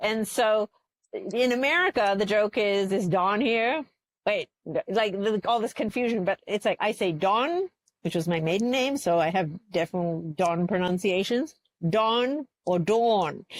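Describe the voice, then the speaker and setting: Speaking at a fairly slow pace, a woman uses lively intonation and a fairly high pitch at very even loudness. The sound is dry and close with no echo. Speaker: magician and former podcaster. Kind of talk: casual chat. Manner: hesitant, many fillers.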